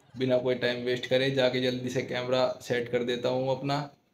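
Noticeable background noise sits under a man talking at a fairly slow pace in a monotone, flat delivery. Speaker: YouTube prank vlogger. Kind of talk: casual vlog chat. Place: home room. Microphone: phone near.

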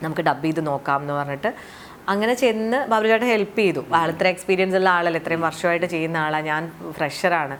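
Her pitch runs fairly low with ordinary variation, and she has a plain, everyday voice. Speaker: actress and artist. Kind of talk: casual interview.

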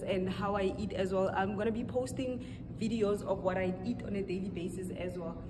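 A woman talks at a fairly quick pace. Noticeable background noise sits behind her. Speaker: fitness vlogger. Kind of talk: casual vlog chat. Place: gym. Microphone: camera far.

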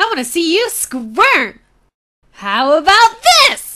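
In a put-on character voice, the speaker uses an extremely high pitch with very wide pitch swings at a fairly slow pace. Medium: voice reel.

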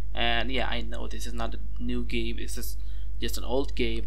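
The speaker keeps a moderate pace. Light background noise runs underneath. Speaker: video game let's player. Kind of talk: casual gameplay commentary.

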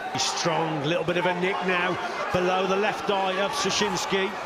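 Moderately paced speech against loud background noise. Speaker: boxing commentator. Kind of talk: live boxing commentary. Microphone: headset.

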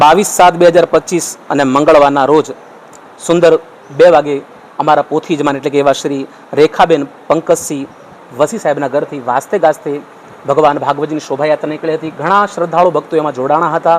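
A man's fairly high voice with fairly even intonation over noticeable background noise. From Gujarat, India (village). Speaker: religious storyteller. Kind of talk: interview statement.

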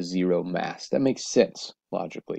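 A man's dark, mellow tone comes through in a dry, close sound with no echo. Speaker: teacher. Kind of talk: classroom tutorial narration.

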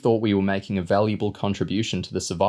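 Unforced reading voice throughout

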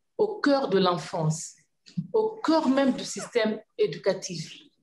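A woman's voice is somewhat breathy. She talks at a fairly slow pace. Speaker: government minister. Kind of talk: panel discussion. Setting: video call. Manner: passionate. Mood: earnest, thoughtful. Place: office. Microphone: video call.

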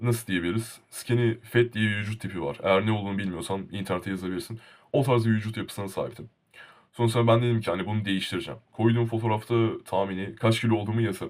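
His pitch is fairly low. The man rattles through his words at a very fast pace. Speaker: YouTuber. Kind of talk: casual vlog monologue. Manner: animated.

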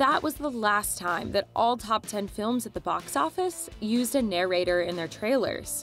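There is music in the background. Over it, a woman speaks with lively intonation. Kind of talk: documentary explainer narration.

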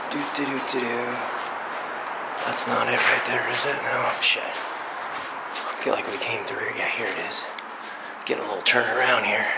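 Over loud background noise, a man speaks at a fairly slow pace. He leaves long, frequent pauses. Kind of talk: casual vlog chat, muttered narration. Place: factory. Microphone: phone near.

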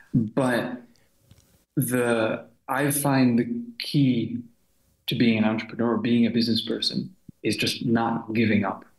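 A man's flat, monotone voice at a fairly slow pace with long, frequent pauses, with audible room echo and a quiet background. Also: medium pitch for a man. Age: 30s. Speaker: translation company partner. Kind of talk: casual interview. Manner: hesitant, many fillers. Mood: relaxed, reflective. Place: home room. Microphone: webcam.

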